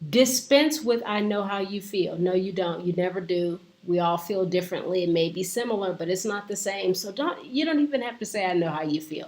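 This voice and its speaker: Over noticeable background noise, a woman with a medium pitch talks with lively intonation and hardly any pauses. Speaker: life coach. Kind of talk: inspirational talk. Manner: slow, with pauses.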